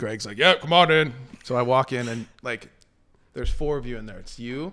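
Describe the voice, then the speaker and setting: Bright and sharp in tone, a man speaks at a medium pitch and moderate pace, with ordinary pitch variation and big swings in loudness. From Canada. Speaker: professional baseball player. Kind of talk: casual chat. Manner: animated.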